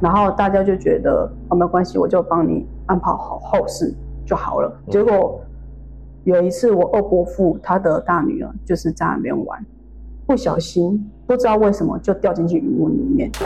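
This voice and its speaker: Over noticeable background noise, a woman with a Taiwanese accent speaks at a moderate pace. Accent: Taiwanese Mandarin. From Taiwan, Tainan. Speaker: podcast listener. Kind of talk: interview. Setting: hotel room.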